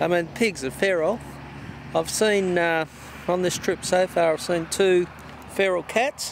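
A high-pitched man at a fairly slow pace with ordinary pitch variation and very even loudness, dry with no echo, light noise behind. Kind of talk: casual vlog chat. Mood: curious, mildly amused. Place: open country. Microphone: phone near.

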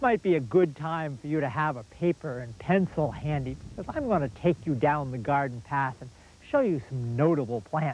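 A man speaks at a moderate pace with big swings in loudness and ordinary pitch variation, in a dry sound with no echo over light background noise. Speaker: garden show host. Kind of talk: tutorial. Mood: warm, enthusiastic. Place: garden. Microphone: lapel.

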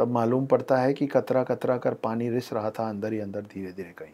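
In a very clean recording with a silent background, a man speaks in an unremarkable speaking voice at medium pitch with fairly even intonation. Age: 40s. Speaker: author. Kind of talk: casual chat. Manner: reflective, storytelling.

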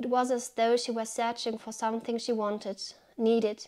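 In a quiet background, a woman talks at a fairly high pitch with monotone, flat intonation. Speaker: book reviewer. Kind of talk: book review video with literary reading aloud. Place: home room.

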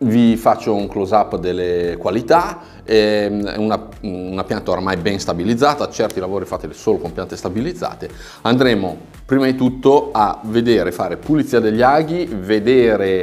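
A man with a fairly low pitch speaks at a moderate pace. Faint music plays behind him. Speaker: bonsai instructor. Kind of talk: tutorial. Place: studio.

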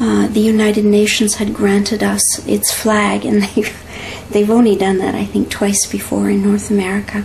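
A woman with a Canadian accent keeps her loudness very even and barely pauses, with light background noise behind her. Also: moderate pace. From Canada. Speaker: teacher. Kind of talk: interview. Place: home room. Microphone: camera far.

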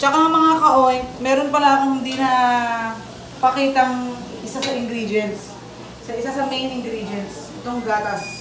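A woman with a high voice and fairly even intonation speaks at a moderate pace amid noticeable background noise and audible room echo. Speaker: home cook vlogger. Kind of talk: casual cooking tutorial chat. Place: kitchen. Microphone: phone near.

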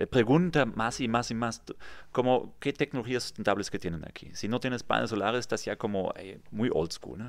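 A man with a German accent and vocal fry, at a moderate pace, with big swings in loudness, ordinary pitch variation and a quiet background. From Germany, near Kassel; Germany. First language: German (speaking Spanish). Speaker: real estate developer; guest. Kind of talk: interview. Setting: studio. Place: studio. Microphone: studio mic.

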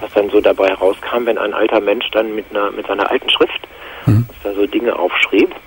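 Moderate pace over noticeable background noise. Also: man. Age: 50s. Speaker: caller. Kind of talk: testimony. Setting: phone call.

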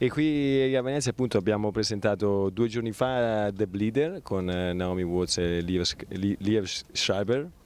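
A man speaks at a very slow pace in a dry sound with no echo. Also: fairly low pitch for a man, ordinary pitch variation. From Italy. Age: 20s. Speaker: film producer. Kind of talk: interview. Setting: film festival. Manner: halting, many repetitions. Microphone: handheld.

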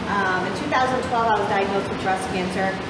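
A woman's voice amid loud background noise and audible room echo. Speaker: guest. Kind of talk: personal story told to a group. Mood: calm, earnest, somewhat hesitant. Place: gym. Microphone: camera far.

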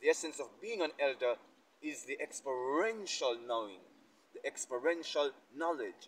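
Over light background noise, a man speaks at a moderate pace in a bright, sharp tone with ordinary pitch variation. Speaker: speaker. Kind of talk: sermon-like reflective talk. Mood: earnest, contemplative. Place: garden. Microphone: lapel.

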